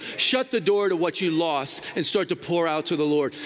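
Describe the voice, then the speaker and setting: At a moderate pace, the speech has lively intonation amid noticeable background noise. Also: man. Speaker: traveling preacher. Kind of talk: sermon. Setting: church. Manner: animated.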